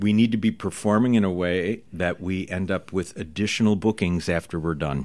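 Speaking at a moderate pace with hardly any pauses, a man uses a very deep, low voice and ordinary pitch variation. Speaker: magic school dean and magician. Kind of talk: interview. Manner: measured pacing.

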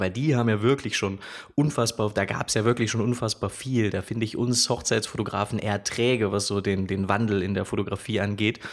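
A man's intonation stays fairly even, and his pitch sits fairly low. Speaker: wedding photographer. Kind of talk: casual chat.

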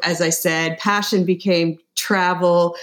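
A woman's normal speaking voice, fairly low in pitch, with a Canadian accent at a fairly slow pace, in a very clean recording with a silent background. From Canada. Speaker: tech company CEO. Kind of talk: interview.

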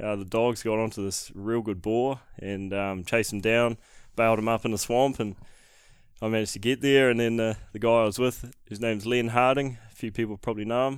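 On a very clean recording with a silent background, the speech runs at a moderate pace with fairly even intonation. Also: man. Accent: New Zealand. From New Zealand, Northland (Whangarei). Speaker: hunting guide and videographer. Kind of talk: casual chat.

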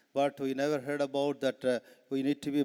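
A man speaks in an Indian accent at a moderate pace. His pitch is fairly high, and the sound is dry and close with no echo. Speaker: preacher. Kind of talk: sermon. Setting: stage with audience. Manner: animated; frequent laughter.

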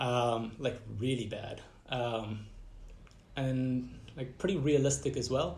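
A man's somewhat breathy voice at a very slow pace, broken by long, frequent pauses. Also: medium pitch for a man, ordinary pitch variation. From Southern and Central Africa (Malawi, Zimbabwe). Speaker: designer and startup founder. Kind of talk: casual interview.

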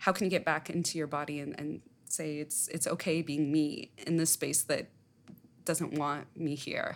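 A woman's very deep, low, monotone voice at a moderate pace, in a very clean recording with a silent background. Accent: American. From Southern California, US (West Covina). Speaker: journalist, poet and scholar. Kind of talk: interview conversation.

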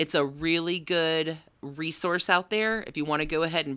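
A woman with a Southern US accent, a very deep, low pitch and a bright, sharp, animated tone at a moderate pace, in a very clean recording with a silent background. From US South. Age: 40s. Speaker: podcaster and corporate training writer. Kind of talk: casual chat.

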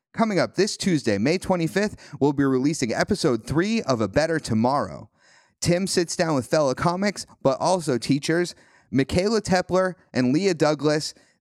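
Very clean and silent in the background, with a dry, close sound and no echo, the recording has a man using a plain, everyday voice at fairly high pitch and a moderate pace. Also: lively intonation. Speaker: podcast host. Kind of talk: casual chat.

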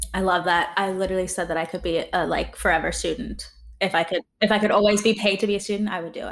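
The speaker talks very fast in an American accent, with vocal fry. The intonation stays fairly even. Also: woman, medium pitch for a woman. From US and South Africa. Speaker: podcast host. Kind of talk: interview conversation.

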